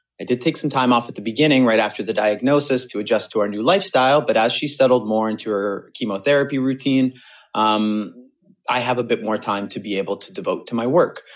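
A man talks very quickly, his pitch sitting in the middle range and varying in an ordinary way. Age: 20s. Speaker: caller, business strategist and caregiver. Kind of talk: recorded voicemail question. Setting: recorded call.

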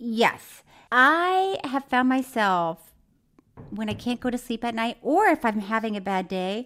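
A woman speaks at a fairly slow pace with big pitch swings. Her pitch is fairly high and her tone fairly bright.

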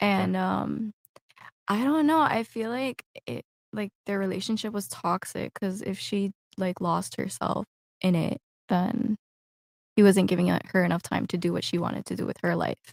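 Recorded dry and close with no echo, a woman with an American accent speaks at a moderate pace, leaving long, frequent pauses. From Miami, Florida. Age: 20s. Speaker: adult content creator. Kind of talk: casual chat.

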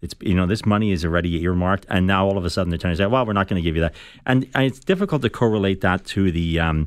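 A man with an Irish accent talks very fast in a very deep, low pitch. The recording is very clean, with a silent background. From Ireland, Dublin. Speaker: political staffer. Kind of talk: radio panel discussion. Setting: radio studio.

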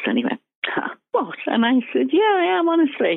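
A woman in a Liverpool accent, fairly quick, with very wide pitch swings. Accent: Liverpool (Scouse). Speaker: former band secretary and fan club president. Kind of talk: interview.

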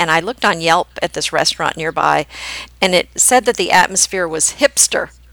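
A woman talks at a very fast pace with ordinary pitch variation, her sound dry and close with no echo. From Oklahoma-born, raised in New Jersey and Pennsylvania. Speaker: podcast host, home decorating blogger. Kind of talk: casual chat, podcast conversation.

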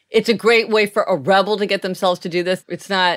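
Intonation stays fairly even in a normal speaking voice. The tempo is middling. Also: woman. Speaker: podcast host. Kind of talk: casual chat. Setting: home office.

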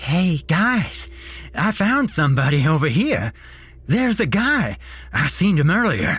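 A man performs a put-on character voice at a slow pace. His pitch is fairly high with big swings, and his tone is fairly bright.

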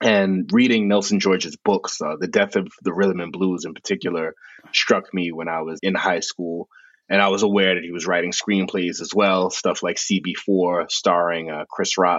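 A man's very deep, low voice in a New York accent, monotone and flat, at a moderate pace. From New York City, South Bronx. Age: 50s. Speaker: author and music journalist. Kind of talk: interview.

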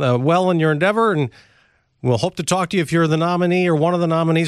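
A man's fairly high voice at a very fast pace, with ordinary pitch variation, on a very clean recording with a silent background. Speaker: radio host. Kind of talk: news interview. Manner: formal.

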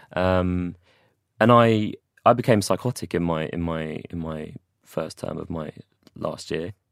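In a London accent, a man speaks at a fairly slow pace with a very deep, low pitch and ordinary pitch variation, leaving long, frequent pauses. The recording is very clean, with a silent background, and the sound is dry and close, with no echo. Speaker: mental health campaigner. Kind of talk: interview testimony. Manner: halting.

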